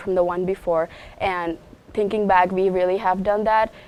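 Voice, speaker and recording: With fairly even intonation, a woman speaks in an unremarkable speaking voice. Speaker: college tennis player. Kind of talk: interview.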